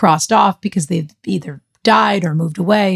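Somewhat breathy and fairly low in pitch, a woman speaks with an American accent. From Boston area. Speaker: podcast co-host. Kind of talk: scripted narration.

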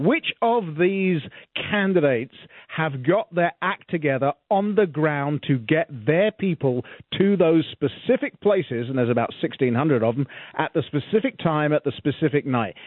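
A fairly high-pitched man with lively intonation. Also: moderate pace. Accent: British. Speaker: radio talk host. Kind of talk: casual interview chat.

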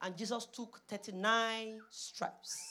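A woman speaks with a Nigerian accent. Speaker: preacher. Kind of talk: sermon; congregational prayer. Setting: church.

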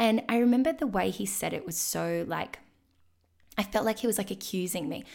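Over a very clean recording with a silent background, a woman talks at a fairly quick pace with vocal fry, lively intonation and medium pitch. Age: 20s. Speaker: podcast host. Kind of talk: solo podcast monologue.

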